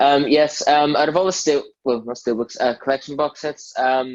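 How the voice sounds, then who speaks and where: A man in a strong Northern Irish accent, with fairly even intonation. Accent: heavy Northern Irish. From Northern Ireland. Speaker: podcast guest, fan. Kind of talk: casual chat.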